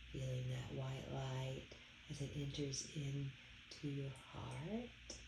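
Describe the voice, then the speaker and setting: A woman talks at a very slow pace and very even loudness over noticeable background noise. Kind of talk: guided meditation. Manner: slow, soothing and calm, with gentle repetition; soft-spoken and unhurried, with long pauses.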